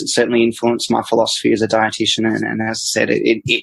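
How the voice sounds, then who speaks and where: This man, who has an Australian accent, speaks at a fairly quick pace. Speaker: dietitian. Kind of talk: interview answer.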